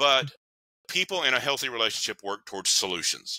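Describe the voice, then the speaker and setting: With an East Tennessee accent, a man talks at a very fast pace in a bright, sharp tone, recorded dry with no echo against a quiet background. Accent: Southern US (East Tennessee). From US South, Knoxville, Tennessee. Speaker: counselor and relationship author; podcast guest. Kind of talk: interview. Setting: remote call. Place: home room.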